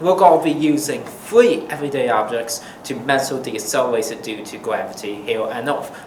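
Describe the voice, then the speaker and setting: With lively intonation and big swings in loudness, a man with a fairly high voice talks at a fairly quick pace with hardly any pauses over noticeable background noise. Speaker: physics educator, presenter. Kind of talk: educational explainer to camera.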